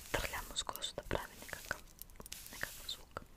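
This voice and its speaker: Noticeable background noise behind a woman's whispering. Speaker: ASMR creator. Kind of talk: ASMR whispered hair play. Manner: whispered, soft-spoken.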